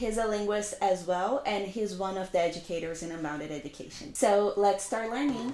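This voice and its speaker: A woman talks at a fairly quick pace with hardly any pauses, her voice medium-pitched with ordinary pitch variation. Music plays in the background. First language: not English. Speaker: language educator. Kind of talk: casual chat.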